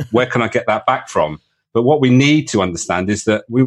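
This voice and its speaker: A man with a British accent at a fairly quick pace. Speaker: leadership coach. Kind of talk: interview conversation. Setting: call.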